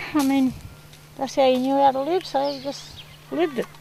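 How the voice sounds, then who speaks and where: Over noticeable background noise, a woman with a high pitch speaks at a fairly quick pace. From rural New South Wales, Australia. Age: 60s. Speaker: community elder. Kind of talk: oral history storytelling. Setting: outdoors by a river. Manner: casual, hesitant with fillers.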